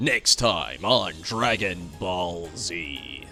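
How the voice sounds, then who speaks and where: Clear music plays behind a man doing a put-on character voice with a very deep, low pitch. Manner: dramatic announcer.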